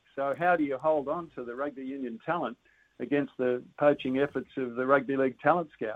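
A man with an Australian accent talks at a fairly quick pace with fairly even intonation. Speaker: rugby commentator. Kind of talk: casual chat.

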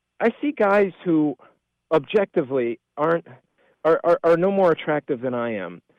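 With an American accent, a man talks at a fairly slow pace in a high pitch, his intonation lively. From Spokane, Washington. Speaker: caller. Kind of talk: phone-in question. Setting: phone call. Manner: halting.

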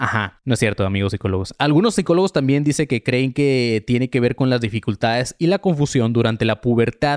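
Recorded with a dry, close sound and no echo, a man talks in an animated tone with a Mexican accent. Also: very clean recording, silent background. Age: 30s. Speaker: podcast host. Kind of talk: casual monologue, live stream. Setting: at home. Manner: halting, with fillers.

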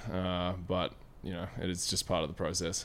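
A man with an Australian accent speaks in a very deep, low pitch with monotone, flat intonation. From Australia, Victoria and southern New South Wales. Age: 20s. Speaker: professional basketball player. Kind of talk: casual interview chat. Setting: outdoors.

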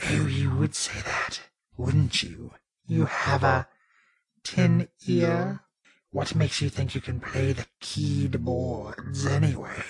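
A man does a raspy, put-on character voice at a fairly slow pace. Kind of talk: comic overacting. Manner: haughty, campy, condescending.

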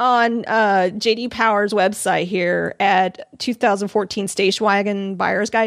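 In an American accent, a woman with a plain, everyday voice speaks at medium pitch and a moderate pace, in a very clean recording with a silent background and a dry, close sound with no echo. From Arizona. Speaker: podcast host. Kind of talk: casual chat. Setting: live stream.

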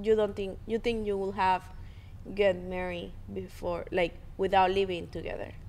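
A woman speaks with a Spanish accent at a moderate pace. Her loudness swings widely. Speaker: podcast co-host. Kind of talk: casual chat between couple, podcast.

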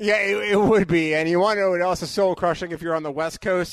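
High-pitched male voice with ordinary pitch variation over a quiet background. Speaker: radio host. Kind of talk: casual sports talk radio. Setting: radio studio.

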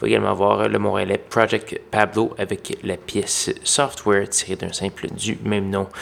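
In a Quebec accent, a man speaks in a relaxed tone at a moderate pace with hardly any pauses. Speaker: college radio DJ. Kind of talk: radio DJ patter: brisk, friendly show intro and back-announce. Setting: radio studio. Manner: relaxed, conversational, informal with a few filler hesitations.

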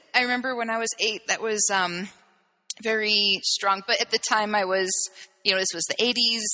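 This woman's voice is fairly high, with a bright, sharp tone. She keeps her intonation fairly even and moves at a moderate pace. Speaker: gender therapist. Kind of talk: interview conversation.

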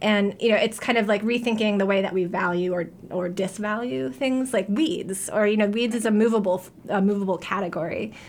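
A woman with an American accent, medium pitch, ordinary pitch variation, and a fairly quick pace, amid noticeable background noise. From New York. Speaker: history professor. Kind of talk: radio interview. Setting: radio studio. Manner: casual, many filler words.

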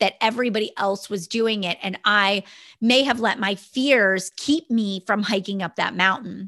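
A woman talks at a moderate pace in a fairly high, bright, sharp voice with an energetic tone and ordinary pitch variation, the sound dry and close with no echo against a quiet background. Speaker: network marketing entrepreneur and podcast host. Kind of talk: motivational solo podcast talk.

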